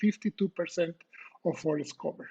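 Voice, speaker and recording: The speaker has a Costa Rican accent and moves at a fairly quick pace. The sound is dry and close, with no echo. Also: man. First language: Spanish. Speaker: professor. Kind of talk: lecture. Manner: halting, many fillers.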